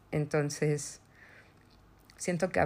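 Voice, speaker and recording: Speaking with vocal fry, a woman has a very deep, low pitch. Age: 30s. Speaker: podcast host, mother. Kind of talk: personal testimony, partly read aloud.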